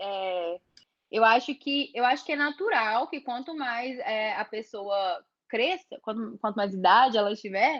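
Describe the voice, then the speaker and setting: Using an ordinary speaking voice, a woman speaks at a fairly slow pace with fairly high pitch and lively intonation. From interior of Brazil. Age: 20s. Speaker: photographer. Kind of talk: workshop talk with Q&A.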